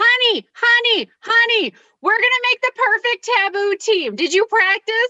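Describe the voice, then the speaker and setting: An extremely high, squeaky put-on character voice moves at a moderate pace. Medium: game stream. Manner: pushy, excited.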